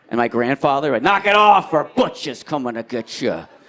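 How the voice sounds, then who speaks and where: Amid noticeable background noise, a man with a fairly high voice talks at a fairly quick pace, his pitch swinging very widely. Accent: American. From New Jersey. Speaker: stand-up comedian. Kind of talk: live stand-up comedy set.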